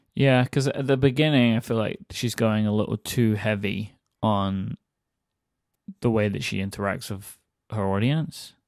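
Against a very clean recording with a silent background, a man with a fairly low pitch speaks at a moderate pace, using ordinary pitch variation and long, frequent pauses. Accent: American. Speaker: podcast co-host. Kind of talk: casual chat.

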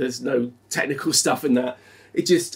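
Speaking fairly quickly, a man lets his pitch vary in an ordinary way. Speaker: motorbike reviewer. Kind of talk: review presentation. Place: garage.

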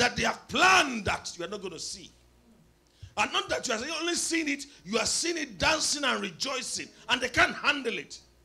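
A man speaks in a raised, projected voice at a moderate pace. His pitch swings very widely. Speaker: preacher. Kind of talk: sermon. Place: church. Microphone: handheld.

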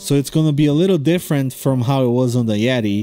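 A man talks with ordinary pitch variation. Music plays in the background. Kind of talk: casual vlog chat over drawing process.

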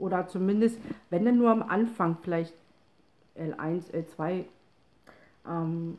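Her intonation fairly even, a woman speaks with a fairly low pitch. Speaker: person with a chronic spinal condition. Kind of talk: casual talk to camera. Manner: hesitant, with pauses and stumbling. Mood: calm, slightly tired. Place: home room. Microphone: phone near.

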